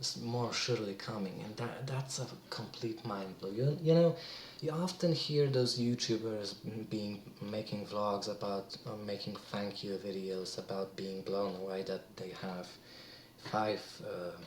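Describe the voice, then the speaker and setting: Noticeable background noise surrounds a man speaking fairly slowly at a fairly low pitch with ordinary pitch variation. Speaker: vlogger. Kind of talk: casual vlog talk. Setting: alone in a room at night. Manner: halting, many restarts.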